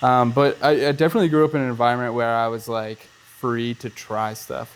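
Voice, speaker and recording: A man speaks in a normal speaking voice at medium pitch. His intonation is fairly even. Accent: American. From Erie, Pennsylvania, US. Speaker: filmmaker and actor. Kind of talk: casual interview chat.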